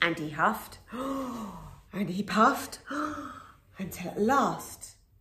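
Intonation here is lively. The delivery is a natural reading voice.

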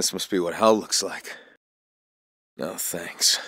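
A man uses a put-on character voice, low in pitch with a bright, sharp tone. He speaks at a slow pace with ordinary pitch variation, and the sound is dry and close with no echo.

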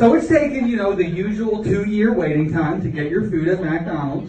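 Over noticeable background noise, a man with an American accent swings his pitch very widely. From Florida, Deep South US. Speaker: stand-up comedian. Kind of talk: live stand-up comedy set. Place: stage. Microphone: camera far.

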